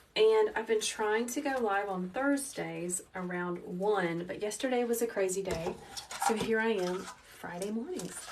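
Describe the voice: A woman speaks at a medium pitch and a fairly slow pace, with a calm, gentle tone and ordinary pitch variation. Room echo can be heard.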